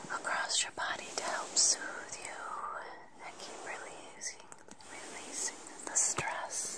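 The speaker is whispering at a very slow pace. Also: woman. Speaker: guided relaxation host. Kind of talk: soothing guided meditation. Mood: gentle, soothing, intimate. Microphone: phone near.

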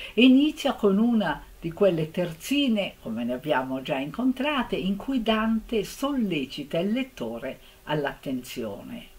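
A woman speaks at a fairly slow pace, somewhat breathy. Her pitch swings very widely. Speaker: literature lecturer. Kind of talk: literary lecture. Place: home room. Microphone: webcam.

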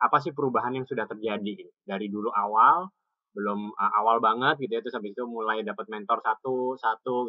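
A man speaks at a very fast pace in a medium pitch. His pitch varies in an ordinary way, and the background is quiet. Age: young. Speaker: webinar host. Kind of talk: casual online talk show. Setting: video call from home porch. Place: home room. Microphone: video call.

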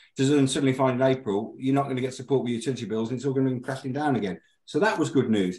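The man's voice has a dark, mellow tone. Audible room echo surrounds it. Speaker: guest. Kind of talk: news review commentary. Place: home room. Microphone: video call.

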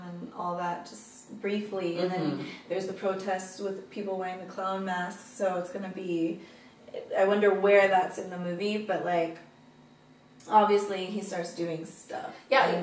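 A woman talks at a moderate pace in a monotone with flat intonation, with audible room echo around her. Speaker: reaction channel host. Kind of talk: casual reaction chat. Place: home room. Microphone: camera far.

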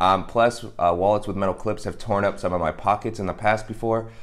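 Speaking at a very fast pace, a man with a fairly low pitch keeps his intonation fairly even over a quiet background. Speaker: product reviewer. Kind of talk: casual review talk to camera. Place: home room.

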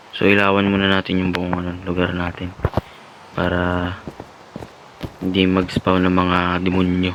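Over noticeable background noise and audible room echo, a man with a very deep, low pitch speaks in a flat monotone at a moderate pace, leaving long, frequent pauses. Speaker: gaming youtuber. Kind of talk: let's play commentary.

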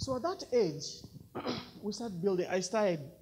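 Light noise in the background behind a male speaker. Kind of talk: personal story talk. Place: hall. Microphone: handheld.

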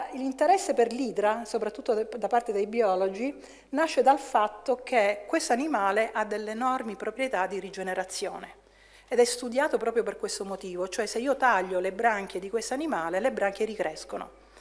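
A woman speaks in a plain, everyday voice at a fairly high pitch. Her pace is moderate and her pitch variation ordinary. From Italy. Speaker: chemistry professor. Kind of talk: lecture. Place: hall.

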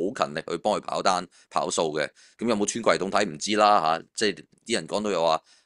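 A man talks in an ordinary speaking voice at a fairly low pitch. His pace is fairly quick against a quiet background. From Hong Kong. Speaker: finance author. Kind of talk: casual chat. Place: home room. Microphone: video call.

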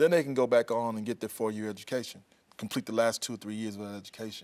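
A man at a very fast pace with an American accent, medium pitch and fairly even intonation, against a quiet background. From South Carolina. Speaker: regional workforce advisor. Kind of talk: TV interview. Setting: studio. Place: studio. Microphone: lapel.

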